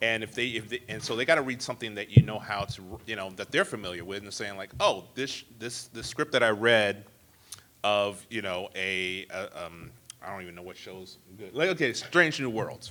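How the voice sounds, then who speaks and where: Noticeable background noise sits behind a man with a fairly low pitch and ordinary pitch variation. He talks at a moderate pace, with big swings in loudness. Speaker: TV writer. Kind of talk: panel discussion.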